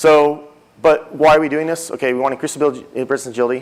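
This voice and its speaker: Intonation fairly even, a man speaks at a fairly quick pace. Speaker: conference speaker, technology executive. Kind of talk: conference talk. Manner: fast.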